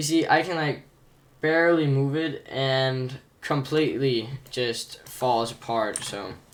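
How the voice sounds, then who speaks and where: Fairly high male voice, very slow in pace, with ordinary pitch variation. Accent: non-native. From outside America. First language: not English. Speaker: gaming tutorial creator. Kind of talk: tutorial. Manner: casual, hesitant with fillers.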